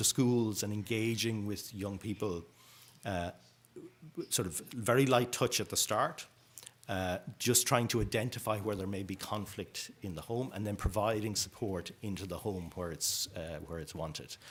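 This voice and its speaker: In an Irish accent, a man speaks at a fairly low pitch with ordinary pitch variation. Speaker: youth homelessness policy speaker. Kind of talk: conference presentation. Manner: fast.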